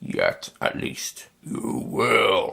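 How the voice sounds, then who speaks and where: A man growls in a put-on character voice. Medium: read story.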